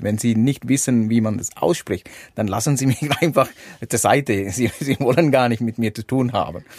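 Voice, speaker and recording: On a very clean recording with a silent background, a man with a Sri Lankan accent and medium pitch speaks at a moderate pace with vocal fry. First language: Sinhala (speaking German). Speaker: motorcycle adventurer. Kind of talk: interview. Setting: caravan at a campsite. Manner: halting.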